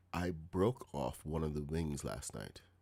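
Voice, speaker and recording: A soft-spoken man talks with a very deep, low pitch. Vocal fry runs through his voice. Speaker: gaming streamer. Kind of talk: live gameplay stream chat. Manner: quiet, soft-spoken.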